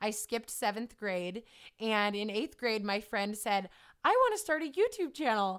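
Ordinary pitch variation runs through a plain, everyday voice that keeps a moderate pace. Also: woman, fairly high pitch for a woman. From California. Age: 20s. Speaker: fitness trainer and YouTuber. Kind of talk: interview.

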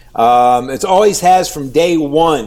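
A man with a Midwestern American accent speaks at a fairly high pitch with lively intonation. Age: 60s. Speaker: TV news anchor and reporter. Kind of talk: interview.

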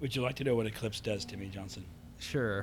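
The man speaking has a somewhat breathy voice. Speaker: podcast co-host. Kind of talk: casual chat.

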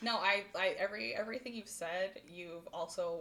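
A woman's voice, with ordinary pitch variation, sits over noticeable background noise. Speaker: podcast co-host. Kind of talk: casual chat. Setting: in-person recording. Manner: fast, talks over others.

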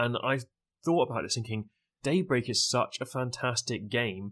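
On a very clean recording with a silent background, a man has an ordinary speaking voice at a medium pitch, with ordinary pitch variation and a moderate pace. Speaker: Twitch streamer, event co-organizer. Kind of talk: casual podcast chat.

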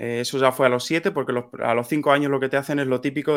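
A man speaks at a fairly quick pace with fairly even intonation in an unremarkable speaking voice. The recording is very clean, with a silent background. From Spain, Toledo province. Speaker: software/tech community member. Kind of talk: interview.

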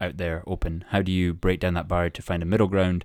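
Heard in a very clean recording with a silent background, a man with a very deep, low pitch speaks in a monotone, flat intonation. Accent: Scottish. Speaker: podcast host. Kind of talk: casual interview.

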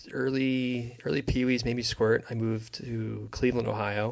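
Speaking at a fairly slow pace, a man has an American accent. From US Northeast, New Jersey. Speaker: hockey fan, former goalie. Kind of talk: casual chat.

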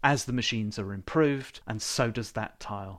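Here is a man with an unremarkable speaking voice. His pitch is medium with ordinary variation. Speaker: board game podcast co-host. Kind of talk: casual banter podcast chat. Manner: joking, playful.

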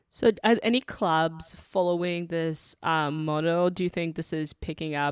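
A woman with a very deep, low pitch speaks at a moderate pace with fairly even intonation, and the sound is dry and close with no echo. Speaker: podcast host. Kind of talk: casual chat. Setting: remote call.

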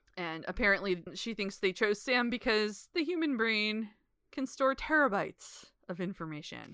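In a very clean recording with a silent background, a woman talks at a moderate pace with a fairly high pitch, lively intonation, and a bright, sharp tone. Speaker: podcast host. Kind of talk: casual chat recapping TV episodes.

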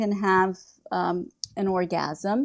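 A woman talks with ordinary pitch variation in a quiet setting. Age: 50s. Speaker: author and health writer. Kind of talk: interview.

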